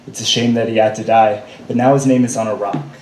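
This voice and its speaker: Over noticeable background noise, a man with a medium pitch talks at a moderate pace in a flat, monotone delivery. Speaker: spoken word poet. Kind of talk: slam poetry performance. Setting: live stage.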